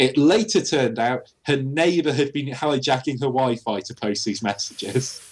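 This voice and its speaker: A man with a British accent talks at a medium pitch with lively intonation and hardly any pauses. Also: moderate pace. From Britain. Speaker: podcast co-host. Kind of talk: casual chat.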